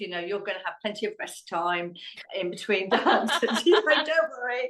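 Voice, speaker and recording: A woman with a southern English accent speaks at a fairly high pitch. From Hampshire, England. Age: 60s. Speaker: dog trainer and amateur ballroom dancer. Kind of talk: podcast interview answer.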